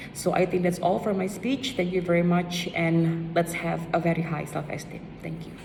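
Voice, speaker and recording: A woman's fairly low voice at a moderate pace, hardly any pauses, fairly even intonation, with noticeable background noise and audible room echo. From Indonesia. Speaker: student speaker. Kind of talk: speech.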